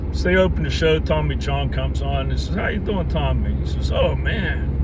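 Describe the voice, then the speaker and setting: A man with an American accent speaks at a fairly quick pace in a very deep, low voice and a monotone, flat delivery, with noticeable background noise and audible room echo. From western Pennsylvania, Pittsburgh area. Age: 60s. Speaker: video blogger. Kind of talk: casual vlog monologue. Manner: conversational, folksy.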